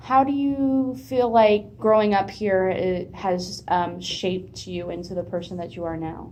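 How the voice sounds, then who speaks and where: In an American accent and an ordinary speaking voice, a woman talks at a fairly slow pace and medium pitch, with lively intonation, big swings in loudness and hardly any pauses. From United States. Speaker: student interviewer. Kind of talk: casual interview.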